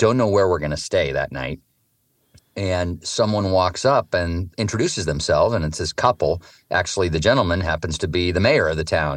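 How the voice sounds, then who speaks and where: A West Coast US accent at a fairly quick pace, with ordinary pitch variation and a quiet background. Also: man, very deep, low pitch for a man. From Oregon, US. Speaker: author and touring cyclist. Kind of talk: interview storytelling. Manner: halting, many fillers.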